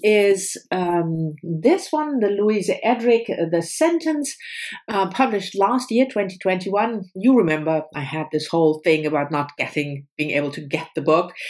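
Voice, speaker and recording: The voice moves at a fairly slow pace with very wide pitch swings. The background is quiet. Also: woman. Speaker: book vlogger. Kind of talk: casual vlog chat. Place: home room. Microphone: webcam.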